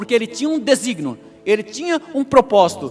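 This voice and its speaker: Music plays in the background as a man speaks. He keeps a moderate pace while his pitch swings very widely. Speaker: pastor. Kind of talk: sermon. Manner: animated.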